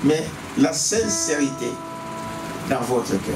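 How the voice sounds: Slow speech from a man with big pitch swings and clear music in the background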